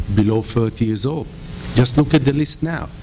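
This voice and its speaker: A medium-pitched man with an Israeli accent and ordinary pitch variation, over noticeable background noise. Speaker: real estate investor. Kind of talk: panel discussion.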